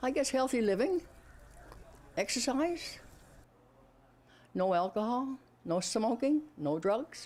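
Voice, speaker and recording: A woman with a Newfoundland accent, high in pitch, with very wide pitch swings, very even loudness, a very slow pace and long, frequent pauses. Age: 90s. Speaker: skier, birthday interviewee. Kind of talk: news interview.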